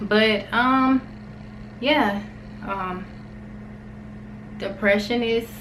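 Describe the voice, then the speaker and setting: Pausing long and often, a woman talks at a fairly high pitch with fairly even intonation, amid noticeable background noise and audible room echo. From US South, Alabama. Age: 20s. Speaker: vlogger. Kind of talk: personal vlog, casual talk to camera.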